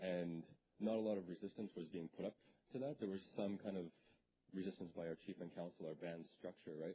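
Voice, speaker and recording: With a Canadian accent, a man speaks at a fairly quick pace in a very deep, low pitch with fairly even intonation, over noticeable background noise. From Canada (northwestern Ontario). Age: 30s. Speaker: presenter. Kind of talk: lecture. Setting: stage with audience. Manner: halting, repeats words. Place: hall. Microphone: handheld.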